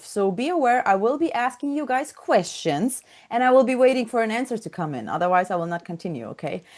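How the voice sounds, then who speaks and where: Against a quiet background, a woman with a Russian accent talks fairly quickly. Her pitch swings very wide. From Ukraine. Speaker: software trainer. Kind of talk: online coaching session. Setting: video call.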